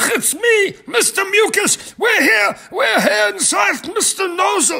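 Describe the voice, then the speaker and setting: A man's shouted, put-on character voice at an extremely high pitch and very slow pace. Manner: screaming.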